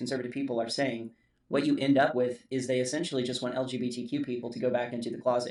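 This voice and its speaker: At a very fast pace, a man talks in a medium pitch with monotone, flat intonation. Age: 40s. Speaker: YouTuber commentator. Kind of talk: personal commentary monologue.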